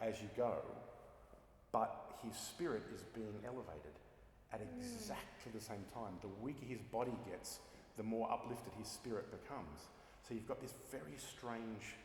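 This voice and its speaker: Over noticeable background noise, a man with an Australian accent talks at a moderate pace with long, frequent pauses, a medium pitch and ordinary pitch variation. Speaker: opera singer. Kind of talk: interview answer.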